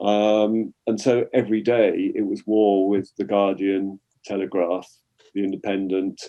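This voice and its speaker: A man has an ordinary speaking voice. He talks at a fairly slow pace with fairly even intonation. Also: fairly low pitch for a man. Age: 60s. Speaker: retired journalist. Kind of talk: interview.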